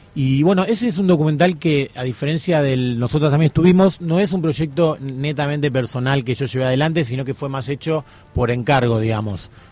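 Over noticeable background noise, a man talks at a fairly quick pace. His pitch is fairly high, with ordinary variation. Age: 30s. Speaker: documentary journalist. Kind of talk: radio interview.

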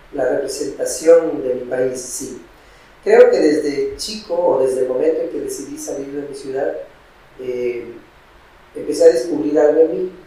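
In a room with audible echo and noticeable background noise, a man talks at a fairly slow pace with big swings in loudness. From Peru, Piura (north coast). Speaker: singer-songwriter. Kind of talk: interview.

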